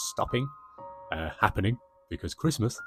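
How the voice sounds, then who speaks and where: A man with a Birmingham accent speaks over music in the background. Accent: Birmingham (Brummie). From Birmingham, England. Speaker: travel vlogger. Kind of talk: voiceover commentary. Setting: voiceover over video footage. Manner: chatty, rambling pace.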